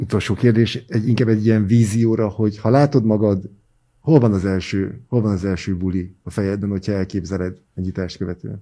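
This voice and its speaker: A man with a dark, mellow tone and fairly low pitch talks at a fairly quick pace with fairly even intonation. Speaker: podcast host. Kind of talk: interview. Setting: studio.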